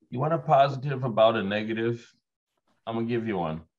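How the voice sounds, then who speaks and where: Against a quiet background, a man speaks at a medium pitch with ordinary pitch variation. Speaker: real estate agent. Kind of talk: casual group discussion. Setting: video call. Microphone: webcam.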